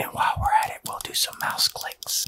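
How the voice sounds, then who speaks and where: Soft-spoken delivery at a moderate pace amid loud background noise. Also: man. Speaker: ASMR creator. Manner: soft close-mic ASMR speech. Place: home room. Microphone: studio mic.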